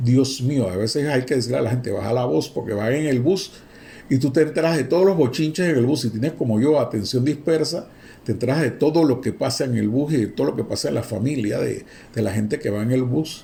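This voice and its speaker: Audible room echo surrounds a man speaking fairly quickly in a Panamanian accent, somewhat breathy. His tone is dark and mellow, with ordinary pitch variation. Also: medium pitch for a man. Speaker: university lecturer. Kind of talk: lecture. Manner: animated.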